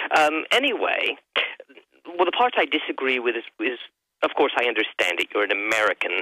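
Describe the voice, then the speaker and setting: In an English accent, the speaker moves at a fairly quick pace but leaves long, frequent pauses. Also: man. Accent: English accent, noticeable. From southern England, Sussex. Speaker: caller. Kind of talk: radio call-in. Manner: halting.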